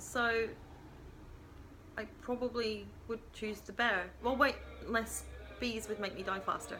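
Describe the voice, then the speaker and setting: Her loudness swings widely as a woman talks at a fairly slow pace. Long, frequent pauses break up her speech, and there is audible room echo. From Scotland. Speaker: vlogger. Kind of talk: casual Q&A vlog. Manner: hesitant, many ums.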